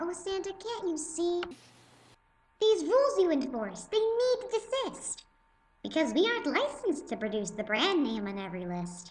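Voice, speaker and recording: In a put-on, squeaky character voice that sounds female, the speaker hits an extremely high pitch with very wide pitch swings at a moderate pace. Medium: read story.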